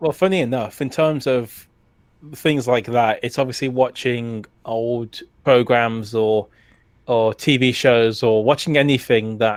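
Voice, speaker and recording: At a fairly slow pace and medium pitch, a man speaks with fairly even intonation on a very clean recording with a silent background. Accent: British. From UK. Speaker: retro gaming YouTuber. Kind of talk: casual interview chat.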